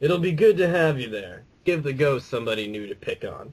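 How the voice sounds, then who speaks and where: A man puts on a character voice that is raspy and fairly high in pitch. He speaks at a fairly quick pace. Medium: read story. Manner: teasing, folksy.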